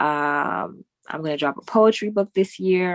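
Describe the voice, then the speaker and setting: This woman has a New York accent. She talks at a moderate pace. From New York, Queens. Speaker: poet and host. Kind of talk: casual chat.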